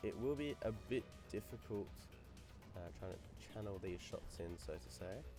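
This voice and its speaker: Music plays in the background as a man speaks. His pitch is very deep and low, with very wide swings. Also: moderate pace. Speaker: gaming video creator. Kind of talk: gameplay commentary. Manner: casual.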